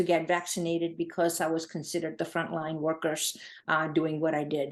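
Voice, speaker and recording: A woman speaks with a Gujarati accent. Her pace is moderate. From India (Gujarat), moved to New England at 12. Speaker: charity founder. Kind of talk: interview. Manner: halting, many fillers.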